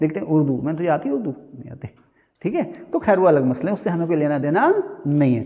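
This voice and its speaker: A man's high-pitched voice with lively intonation. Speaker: teacher. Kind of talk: lecture. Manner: conversational, rhetorical questions.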